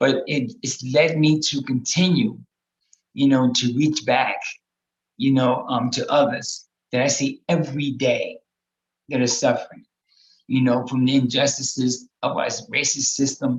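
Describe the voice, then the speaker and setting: A man speaks somewhat breathily at a fairly slow pace, with long, frequent pauses. His pitch is fairly high and his intonation fairly even. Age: 60s. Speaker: harm reduction housing advocate, panel guest. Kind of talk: personal testimony in a panel discussion. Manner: halting, heavy filler words.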